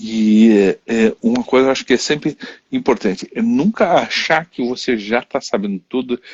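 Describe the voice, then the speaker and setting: The delivery keeps a moderate speed, and its pitch varies in an ordinary way. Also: man. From Haiti. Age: 60s. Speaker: therapist, live stream host. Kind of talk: interview chat on live stream. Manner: halting, many restarts.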